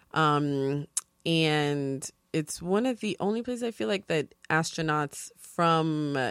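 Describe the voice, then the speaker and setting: Very clean and recorded dry and close with no echo against a silent background, a woman with a New York accent speaks in a very deep, low pitch with lively intonation. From New York, South Bronx. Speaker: TV production freelancer. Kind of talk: casual chat. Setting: studio.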